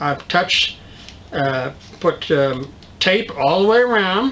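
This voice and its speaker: Noticeable background noise surrounds a man who speaks at a very slow pace. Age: 60s. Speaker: DIY video host. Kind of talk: tutorial. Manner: halting, many fillers.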